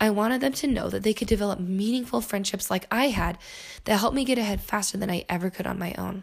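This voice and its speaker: Very fast, animated speech with vocal fry and ordinary pitch variation, on a very clean recording against a silent background. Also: woman, medium pitch for a woman. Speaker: podcast host. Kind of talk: casual monologue. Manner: animated, laughing often.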